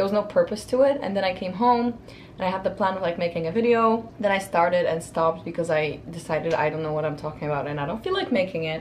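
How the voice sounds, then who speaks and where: Noticeable background noise under a woman's fairly quick speech, medium in pitch, with ordinary pitch variation. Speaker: lifestyle vlogger. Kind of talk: casual vlog monologue. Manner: fast.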